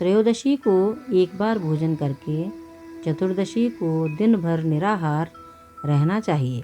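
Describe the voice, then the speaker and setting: Music plays behind a woman speaking. Her pitch is fairly low, with ordinary variation. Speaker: voice over artist. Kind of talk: devotional explainer narration.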